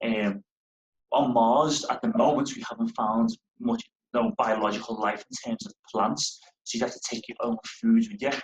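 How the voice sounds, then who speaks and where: This man talks with a Liverpool accent at a moderate pace, his pitch fairly high. His pitch swings very widely and his loudness rises and falls a lot. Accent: Liverpool (Scouse). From northern England, Liverpool. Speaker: space company engineer. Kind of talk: school Q&A talk.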